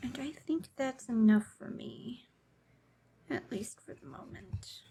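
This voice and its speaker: At a very slow pace, a woman speaks in a relaxed tone with lively intonation and big swings in loudness. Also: fairly high pitch for a woman. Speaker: cross-stitch video creator. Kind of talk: casual stitch-along chat. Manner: relaxed, meandering.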